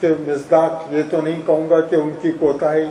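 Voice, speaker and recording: A man's voice carries audible room echo along with noticeable background noise. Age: 70s. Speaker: retired university registrar and teacher. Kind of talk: reminiscence speech at an honorary event. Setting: hall with audience.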